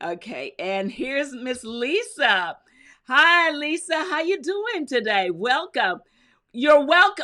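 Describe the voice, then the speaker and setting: A woman with an American accent projects a raised, high-pitched voice with a bright, sharp tone and very wide pitch swings. She speaks at a very slow pace in a very clean recording with a silent background. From US South, North Carolina. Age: 70s. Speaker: crafting YouTuber. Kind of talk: live stream chat reading viewer comments. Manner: casual, chatty.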